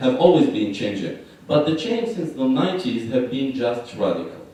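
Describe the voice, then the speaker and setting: A man's fairly high voice with very wide pitch swings, noticeable background noise and audible room echo. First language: not English. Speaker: conference panelist, mining expert. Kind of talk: conference talk. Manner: hesitant, many fillers.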